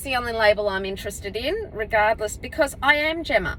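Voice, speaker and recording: A woman speaks loudly at a fairly quick pace in a high pitch. Noticeable background noise runs underneath. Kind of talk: casual vlog monologue. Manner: projecting.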